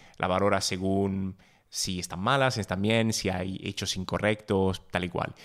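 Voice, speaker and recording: A man's fairly low voice, fairly slow and fairly even in intonation, on a very clean recording with a silent background. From Italy. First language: Italian (speaking Spanish). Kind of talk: casual conversation.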